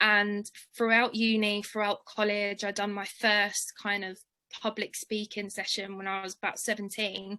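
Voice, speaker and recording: With an English accent, a woman speaks at a moderate pace in a flat monotone at medium pitch against a quiet background. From London. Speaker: charity worker and bursary alumna. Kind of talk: interview, personal story. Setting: webinar video call.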